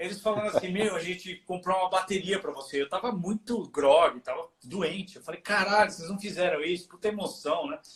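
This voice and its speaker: A man with a high pitch speaks at a moderate pace. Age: 50s. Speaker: heavy metal musician. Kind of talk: casual chat. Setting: live stream from home studio.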